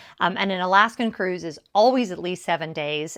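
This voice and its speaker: A relaxed woman's voice, fairly low in pitch with ordinary pitch variation, at a fairly quick pace against a quiet background. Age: 50s. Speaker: lifestyle YouTuber. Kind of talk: casual chat. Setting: at home decorating a tree. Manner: relaxed, chatty.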